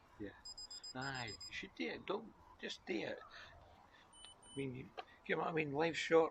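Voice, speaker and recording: A man's fairly high voice with a Scottish accent, lively intonation and long, frequent pauses. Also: moderate pace. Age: 60s. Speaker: passer-by. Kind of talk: casual chat.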